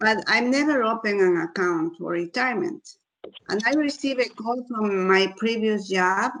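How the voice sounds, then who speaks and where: In a normal speaking voice, a woman talks at a fairly high pitch and a moderate pace with lively intonation. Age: 60s. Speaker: audience member asking a question. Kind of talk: Q&A question. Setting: virtual event.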